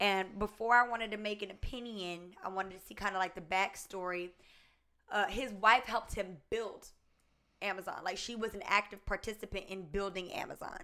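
A woman's medium-pitched, bright, sharp voice with an American accent at a moderate pace. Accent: Southern US with slight Spanish tinge. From US South. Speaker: YouTuber. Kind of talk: casual chat.

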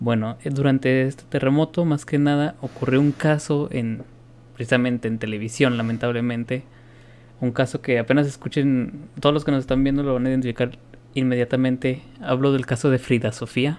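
Using a normal speaking voice, a man at medium pitch keeps fairly even intonation and a moderate pace. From Mexico. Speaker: podcast co-host. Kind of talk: casual chat.

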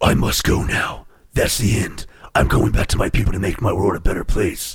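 The pace is moderate. A put-on character voice is used throughout. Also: man, fairly low pitch for a man. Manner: impression of another character.

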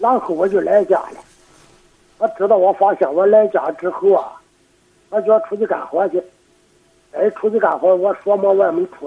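Pitched high, a man speaks at a moderate pace with lively intonation. Long, frequent pauses break up his speech. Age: 50s. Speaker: farmer. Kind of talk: phone call-in. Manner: soft-spoken; halting.

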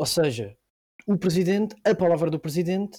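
High male voice, dark and mellow in tone, at a moderate pace. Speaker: guest explaining politics. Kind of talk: casual explanation. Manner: halting.

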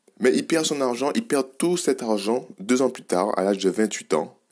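The man's delivery is fairly slow. He uses lively intonation. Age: 20s. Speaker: podcast host on biohacking and nutrition. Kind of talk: solo podcast monologue. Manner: halting, with repetitions and fillers.

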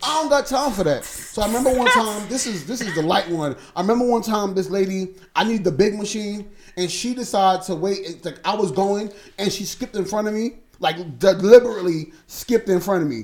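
Animated in tone, a man with a high pitch speaks at a fairly quick pace. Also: ordinary pitch variation. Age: 30s. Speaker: podcast host. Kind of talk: casual chat.

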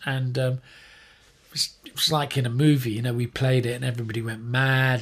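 A man at a medium pitch with a southern English accent, on a very clean recording with a silent background. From England, Surrey. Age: 60s. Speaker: punk guitarist and songwriter. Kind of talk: casual interview. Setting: home studio room.

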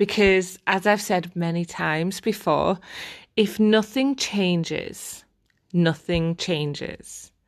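Against a quiet background, a woman talks at a very slow pace with a medium pitch. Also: ordinary pitch variation. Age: 30s. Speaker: life coach and podcast host. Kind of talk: solo podcast talk on personal development. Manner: casual, chatty with fillers.

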